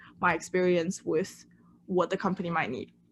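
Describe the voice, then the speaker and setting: A woman talks at a fairly quick pace with a monotone, flat intonation. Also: quiet background. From China. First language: Chinese. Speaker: intern. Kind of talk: presentation.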